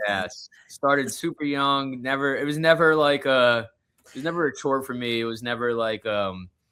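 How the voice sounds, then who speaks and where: A man with a Long Island accent speaks at a moderate pace and medium pitch, with ordinary pitch variation. His loudness swings widely. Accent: New York (Long Island). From Long Island, New York. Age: 20s. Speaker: touring musician, guitarist. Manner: casual, halting with many fillers.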